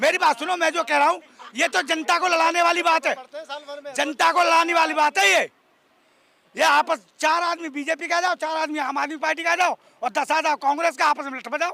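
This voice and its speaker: In a raised, projected voice, a man with an extremely high pitch and a bright, sharp tone speaks at a moderate pace with fairly even intonation, recorded dry and close with no echo. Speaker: voter interviewed in street debate. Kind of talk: heated debate. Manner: loud.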